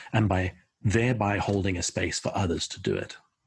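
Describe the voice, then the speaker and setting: Recorded very cleanly against a silent background, a man speaks at a moderate pace in a somewhat breathy, fairly low voice. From South Africa. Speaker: creativity consultant. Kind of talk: interview.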